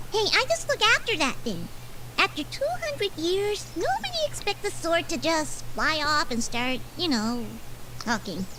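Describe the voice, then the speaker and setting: A female-sounding put-on character voice at a moderate pace, over loud background noise. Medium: video game. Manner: chatty, flighty.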